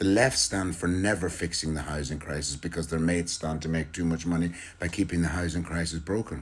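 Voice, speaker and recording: Deep and very low-pitched, this man has an Irish accent. He speaks at a fairly quick pace. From Ireland. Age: 60s. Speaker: political commentator. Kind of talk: political monologue. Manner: animated.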